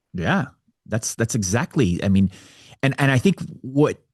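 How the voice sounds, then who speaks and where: A man with an American accent speaks in very wide pitch swings. The sound is dry and close with no echo, over a quiet background. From US West Coast (Orange County, California). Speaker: men's coach, suicide survivor. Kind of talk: interview. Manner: halting, repetitive.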